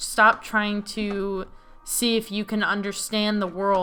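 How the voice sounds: Someone reads in a natural voice. The reading sounds natural from start to finish.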